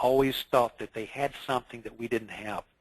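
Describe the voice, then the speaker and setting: In a dry, close recording with no echo, a man with an unremarkable speaking voice speaks at a fairly quick pace, his medium pitch held in fairly even intonation. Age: 60s. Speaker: insurance consultant. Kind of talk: interview.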